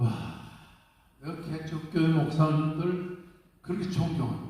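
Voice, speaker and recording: Very slowly, a man speaks in a fairly high pitch amid noticeable background noise and audible room echo. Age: 80s+. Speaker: senior pastor. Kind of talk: congratulatory speech at church assembly. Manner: animated.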